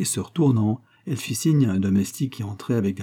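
Someone reads the words aloud. The voice sounds natural.

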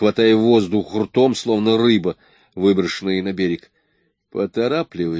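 A quiet background behind natural-voiced reading aloud

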